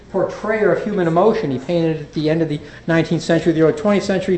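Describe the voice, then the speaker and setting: A man's high-pitched voice with ordinary pitch variation, audible room echo and noticeable background noise. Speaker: physician and addiction specialist. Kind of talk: lecture. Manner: fast; halting with fillers and repetitions.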